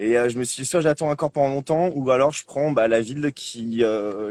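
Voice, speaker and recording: The recording is very clean with a silent background and a dry, close sound with no echo. A man speaks at a very fast pace with ordinary pitch variation. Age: 20s. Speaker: bicycle traveller. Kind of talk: interview. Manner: hesitant, many fillers.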